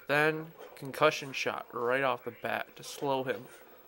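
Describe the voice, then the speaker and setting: Moderate pace against noticeable background noise. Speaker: gaming video creator. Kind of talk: gameplay commentary. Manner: soft-spoken; casual, hesitant with ums.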